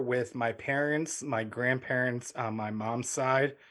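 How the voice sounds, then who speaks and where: A man talks with a medium pitch, his intonation fairly even and his pace fairly slow. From US, immigrated from Ukraine at five. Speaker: foster parent, digital marketer. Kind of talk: interview.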